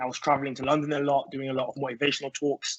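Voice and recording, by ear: At a very fast pace, a man speaks in a monotone, flat intonation at a medium pitch.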